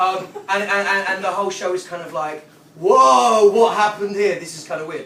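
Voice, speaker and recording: Against noticeable background noise, a man projects a raised voice at a high pitch with ordinary pitch variation. His pace is fairly quick, and his loudness swings widely. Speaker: performance poet; former English teacher. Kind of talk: casual talk to a live audience.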